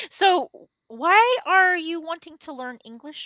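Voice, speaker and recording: A woman's raised, projected voice at an extremely high pitch, bright and sharp in tone, with very wide pitch swings, a very slow pace, and a dry, close sound with no echo. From Texas. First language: Spanish. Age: 40s. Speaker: English teacher. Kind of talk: online language lesson. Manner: animated.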